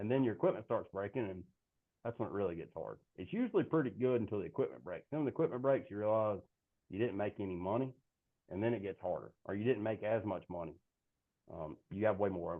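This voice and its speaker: With a Southern US accent, a man talks at a very fast pace in an animated tone with lively intonation. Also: fairly low pitch for a man. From South Carolina. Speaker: fertilizer sales representative. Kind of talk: interview.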